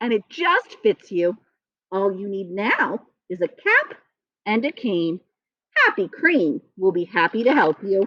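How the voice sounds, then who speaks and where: Using a put-on character voice, a woman speaks at a fairly slow pace with long, frequent pauses. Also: medium pitch for a woman. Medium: read story.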